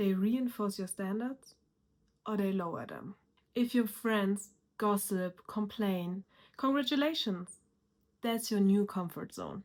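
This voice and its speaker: A woman with a non-native accent, medium pitch, and ordinary pitch variation, at a fairly slow pace with long, frequent pauses. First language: not English. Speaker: self-improvement YouTuber. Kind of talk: motivational talk to camera.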